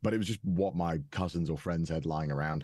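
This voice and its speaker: A man with a Welsh accent speaks fairly quickly in a very deep, low pitch with ordinary pitch variation. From Wales. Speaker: content creator and narrator. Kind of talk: interview. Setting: podcast. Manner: hesitant, many fillers.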